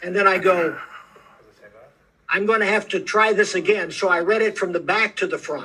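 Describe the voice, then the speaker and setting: A man with an American accent uses a raised, projected voice at a high pitch, bright and sharp in tone. His intonation is monotone and flat, broken by long, frequent pauses. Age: 80s+. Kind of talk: interview. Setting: video call.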